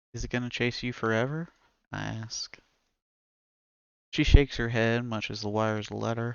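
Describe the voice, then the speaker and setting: Speaking with an American accent, a man keeps a medium pitch and fairly even intonation at a moderate pace. His loudness swings widely, and he leaves long, frequent pauses. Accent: southern accent, comes back when reading. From US South. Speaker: author reading own stories, streamer. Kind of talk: reading aloud. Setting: live stream with chat.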